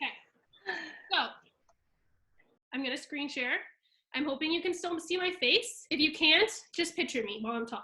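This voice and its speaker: Raising and projecting her voice, a woman speaks at a moderate pace in an extremely high pitch with a bright, sharp tone and long, frequent pauses. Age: 20s. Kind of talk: video call presentation. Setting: video call with screen share. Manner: casual, filler-heavy.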